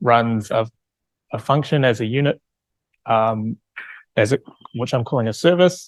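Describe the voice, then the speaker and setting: A man speaks at a medium pitch with ordinary pitch variation. The sound is dry and close with no echo, against a quiet background. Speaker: researcher presenting a software platform. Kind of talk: conference talk. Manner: hesitant, many fillers.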